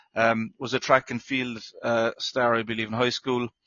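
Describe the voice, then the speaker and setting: A man with an Irish accent talks at a moderate pace and a medium pitch. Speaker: NFL podcast host. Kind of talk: casual sports chat. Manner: hesitant, many fillers.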